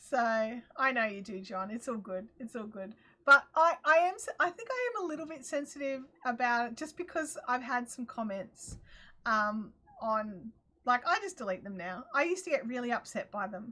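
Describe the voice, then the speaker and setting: In a strong Australian accent, a woman speaks with an animated tone, a high pitch, lively intonation, a bright, sharp tone and big swings in loudness. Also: moderate pace. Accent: broad Australian. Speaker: crafting livestream host. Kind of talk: casual livestream chat.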